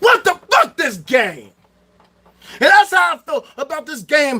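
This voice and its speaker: A man's raised, projected voice with an American accent, very wide pitch swings and a moderate pace. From Chicago South Side, US. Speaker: livestreamer. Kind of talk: livestream rant. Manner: loud; animated.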